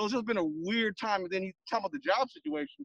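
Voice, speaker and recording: Loud and very fast, a man with an American accent uses ordinary pitch variation in a dry, close sound with no echo. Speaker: fan radio co-host. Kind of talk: casual chat. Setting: outdoors. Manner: loud, outspoken.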